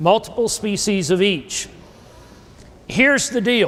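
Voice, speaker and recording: With a South Carolina accent, a man speaks at a high pitch. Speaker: grazing and soil consultant. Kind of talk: workshop lecture.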